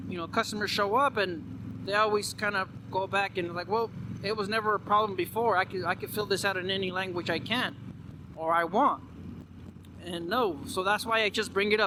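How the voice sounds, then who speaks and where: A man talks at a fairly quick pace in a high pitch, his voice raised and projected, with fairly even intonation. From Mexican American, USA. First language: Spanish. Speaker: vlogger. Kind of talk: casual vlog monologue. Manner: halting, with repeated words.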